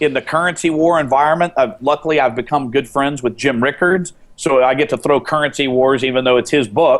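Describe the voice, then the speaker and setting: The man has a normal speaking voice, fairly high in pitch with ordinary pitch variation. He moves at a fairly quick pace with hardly any pauses, his loudness very even. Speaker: commodity trader. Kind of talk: interview.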